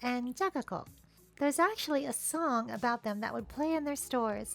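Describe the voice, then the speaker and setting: Music plays behind a woman talking at a moderate pace. She has a playful tone and lively intonation. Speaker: video essayist. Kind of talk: documentary narration. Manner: wry, playful.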